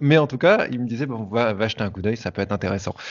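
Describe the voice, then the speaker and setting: The man's pitch is medium, with ordinary variation. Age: 30s. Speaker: hypnotherapist. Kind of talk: interview. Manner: animated.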